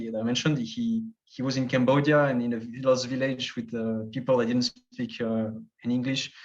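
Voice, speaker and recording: In a French accent, a man speaks at a medium pitch with monotone, flat intonation. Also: moderate pace. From French-speaking Switzerland. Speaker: travel youtuber. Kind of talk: casual chat.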